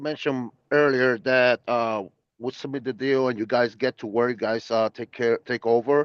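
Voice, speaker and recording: With a Portuguese accent, a man speaks at a moderate pace in a medium pitch with fairly even intonation. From Puerto Rico, Brazilian family. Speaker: attendee asking questions. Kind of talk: Q&A on video call. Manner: halting, many fillers.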